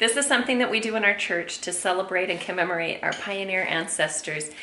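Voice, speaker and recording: Light background noise and audible room echo fill the recording. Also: woman. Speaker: family vlogger. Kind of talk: casual vlog chat. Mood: cheerful, laughing. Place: home room. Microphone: phone near.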